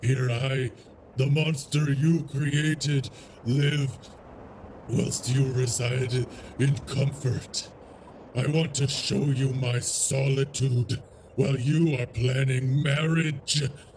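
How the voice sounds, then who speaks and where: A man's put-on character voice at medium pitch, very slow, with long, frequent pauses over clear background noise. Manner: brooding, anguished, menacing.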